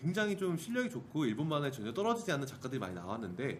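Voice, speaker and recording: In a room with audible echo, a man with a fairly high pitch talks at a fairly quick pace. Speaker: podcast co-host. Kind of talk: casual chat.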